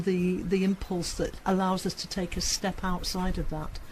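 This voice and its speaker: At a moderate pace, the speaker sounds somewhat breathy. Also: woman. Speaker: assertiveness tutor. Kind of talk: interview answer.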